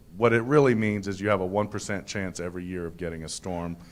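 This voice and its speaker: A man with an American accent speaks at a fairly quick pace in a very deep, low voice. Audible room echo surrounds him. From Texas. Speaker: county public works director. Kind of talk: presentation. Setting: conference with podium and slides. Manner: halting, many fillers.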